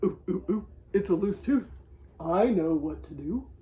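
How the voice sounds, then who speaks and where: Putting on a character voice, a man speaks in a high pitch at a moderate pace. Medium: read story.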